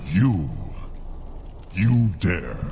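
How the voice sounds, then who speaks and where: A man performs a put-on character voice with a very deep, low pitch. Clear background noise runs behind him. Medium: video game. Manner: haughty, harsh.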